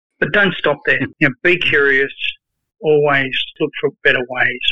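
A man with an Australian accent and a fairly high pitch talks at a fairly slow pace with fairly even intonation. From Australia, Sydney. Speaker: project management advisor and author. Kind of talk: interview.

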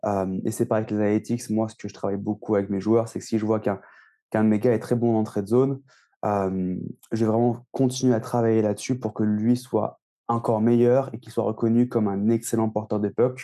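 A man's dark, mellow voice at medium pitch, fairly quick and flat in a monotone, over a quiet background. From France. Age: 20s. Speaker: ice hockey coach. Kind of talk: interview. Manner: halting.

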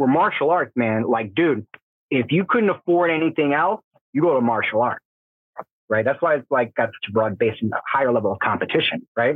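Speaking at a fairly quick pace, a man keeps his loudness very even. His medium pitch moves with lively intonation. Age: 40s. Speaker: martial artist and attorney. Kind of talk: casual chat. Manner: animated.

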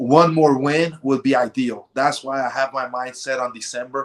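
This is a man with a plain, everyday voice, pitched fairly high. He keeps a moderate pace and fairly even intonation. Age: 20s. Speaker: mixed martial arts fighter. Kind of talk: interview.

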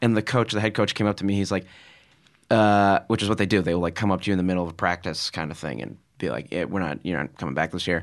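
Against a quiet background, a man with an American accent speaks very fast in a very deep, low voice with vocal fry and ordinary pitch variation. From Connecticut, Fairfield. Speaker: comedian. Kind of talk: casual chat.

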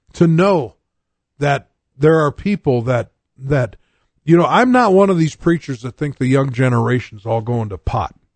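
A man with a fairly high voice, a moderate pace and an ordinary speaking voice. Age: 60s. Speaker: pastor and radio show host. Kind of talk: radio sermon; casual radio talk. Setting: radio studio, live broadcast.

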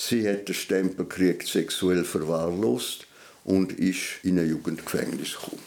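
The voice carries vocal fry. It moves at a fairly slow pace. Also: man. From Switzerland, Graubünden mountain village. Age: 80s. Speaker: retired journalist. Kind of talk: interview recollection.

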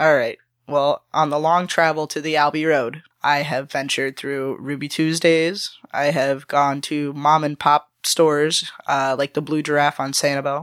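In a very clean recording with a silent background, a woman with an American accent speaks fairly slowly in a very deep, low voice with monotone, flat intonation. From US South, southwest Florida. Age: 20s. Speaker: cook. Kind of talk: casual chat. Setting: studio.

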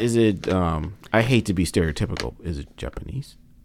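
A man performs a put-on character voice, raspy and very deep. He moves at a fairly quick pace with lively intonation. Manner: hesitant.

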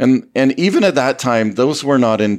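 A man with a Canadian accent and an unremarkable speaking voice, lively intonation, and a moderate pace. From Ottawa area, Canada. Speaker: radio show co-host on finance. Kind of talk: storytelling interview.

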